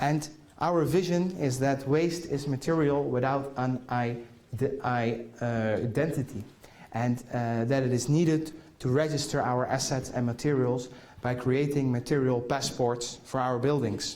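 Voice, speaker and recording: A man with a Dutch accent, fairly slow pace, fairly even intonation and very even loudness, with audible room echo. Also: medium pitch for a man. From Netherlands. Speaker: conference keynote speaker. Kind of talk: keynote talk. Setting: conference hall with audience. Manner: halting, many fillers.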